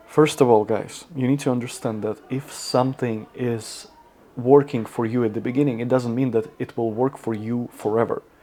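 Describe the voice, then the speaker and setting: A man with a non-native accent speaks at a moderate pace and medium pitch, in a dark, mellow tone. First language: not English. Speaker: fitness content creator. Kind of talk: casual talk to camera. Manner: halting.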